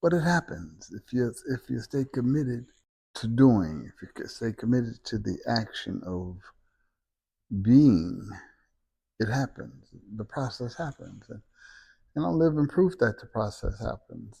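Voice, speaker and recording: A man's medium-pitched, dark, mellow, somewhat breathy voice with an American accent, lively intonation, big swings in loudness and long, frequent pauses over a quiet background. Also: fairly slow pace. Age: 70s. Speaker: self-help vlogger, senior citizen. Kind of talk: casual talk to camera. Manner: repetitive, stammering.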